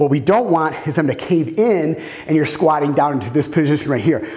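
A man at a moderate pace, his pitch shifting in an ordinary way. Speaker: fitness trainer. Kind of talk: tutorial. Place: gym.

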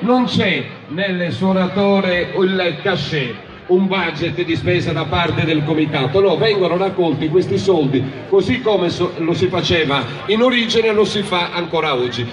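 A man's high-pitched voice, varying in pitch in an ordinary way, sits amid noticeable background noise. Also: fairly slow pace. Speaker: presenter. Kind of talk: stage announcement explaining a folk dance. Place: stage. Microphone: pa.

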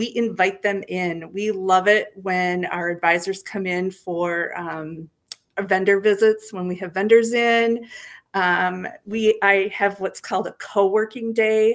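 A woman talks fairly slowly, keeping her intonation fairly even. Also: quiet background. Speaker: guest. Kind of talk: interview answer. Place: home room.

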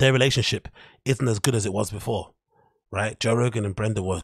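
A somewhat breathy man talks at a fairly quick pace with ordinary pitch variation. The sound is dry with no echo, over a quiet background. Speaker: livestream host. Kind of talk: commentary. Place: home room. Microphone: studio mic.

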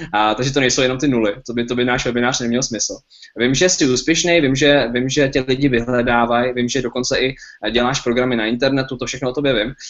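A man speaks at a very fast pace in a medium pitch, with fairly even intonation over a quiet background. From Czech Republic. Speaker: webinar host. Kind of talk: webinar presentation. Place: home room. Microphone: webcam.

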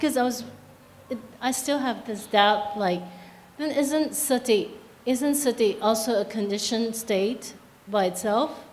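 Here a woman with a plain, everyday voice talks at a moderate pace, pitched fairly high with ordinary pitch variation. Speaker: audience member asking questions; audience member. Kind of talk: Q&A question. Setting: hall with audience, microphone. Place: hall.

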